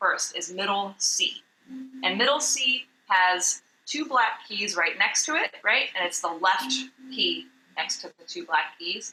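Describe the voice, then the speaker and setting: Lively intonation and a moderate pace from a woman with medium pitch and a plain, everyday voice. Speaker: vocal coach. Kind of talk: tutorial. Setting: video call.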